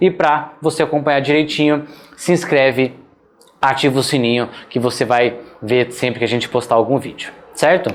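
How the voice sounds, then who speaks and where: A man's fairly even intonation, long, frequent pauses and noticeable background noise. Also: medium pitch for a man, moderate pace. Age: 30s. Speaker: veterinary surgery instructor. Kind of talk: online lecture. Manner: casual, conversational.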